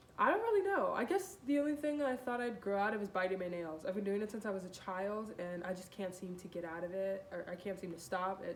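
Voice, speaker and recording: A woman's medium-pitched, animated voice at a very fast pace with hardly any pauses, over noticeable background noise. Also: ordinary pitch variation. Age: 20s. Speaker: model. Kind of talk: casual interview answers. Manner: loud.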